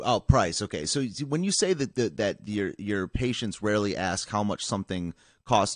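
A man with an American accent talks at a moderate pace and a fairly low pitch, his intonation lively. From Michigan, US Midwest. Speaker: live-stream show host. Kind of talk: casual interview. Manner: halting.

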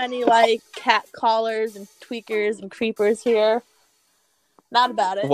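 Over background music, a woman with an American accent speaks at a fairly slow pace and fairly high pitch, her intonation monotone and flat, her loudness swinging widely, in a dry, close sound with no echo. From Tampa, Florida area. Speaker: podcast guest; convenience store clerk. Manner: casual, laid-back.

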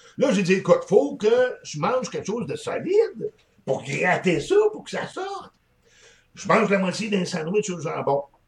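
A man's animated, fairly slow delivery with big swings in loudness. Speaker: hot pepper and hot sauce expert, shop owner. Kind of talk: casual interview.

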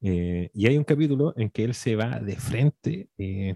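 A man speaks with a fairly low pitch and a dark, mellow tone, his intonation lively. The sound is dry and close, with no echo. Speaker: podcast co-host. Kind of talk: casual chat.

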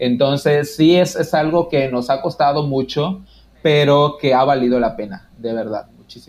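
A man with a normal speaking voice talks at a fairly high pitch and fairly slow pace, with ordinary pitch variation and big swings in loudness. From Mexico, Quintana Roo (Yucatán peninsula). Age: 30s. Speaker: podcaster. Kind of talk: casual interview.

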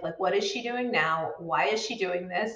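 A woman's medium-pitched, unremarkable speaking voice. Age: 40s. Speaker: midlife coach and podcast host. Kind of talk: casual solo talk to camera. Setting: live video stream.

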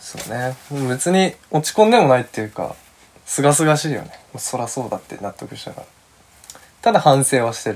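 A man at a medium pitch, fairly quick, with lively intonation and big swings in loudness, over noticeable background noise. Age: 20s. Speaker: podcast host, freelance creative. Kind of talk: casual monologue. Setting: recording room with a friend present.

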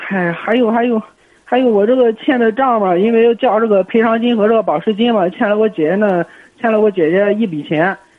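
Here a man speaks at a fairly quick pace in a high pitch. His loudness stays very even, and his pitch varies in an ordinary way. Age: 20s. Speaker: caller. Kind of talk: call-in conversation.

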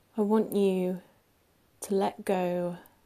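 A calm, soothing tone comes through in a very clean recording with a silent background. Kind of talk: guided meditation. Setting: recorded audio played to listener. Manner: slow, calm, soothing; long pauses between gentle instructions.

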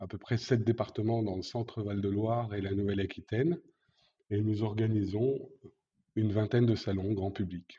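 Fairly low in pitch, a man talks with a dark, mellow, somewhat breathy tone. His intonation is fairly even over a quiet background. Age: 50s. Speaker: event industry manager. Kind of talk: interview. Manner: hesitant, many fillers.

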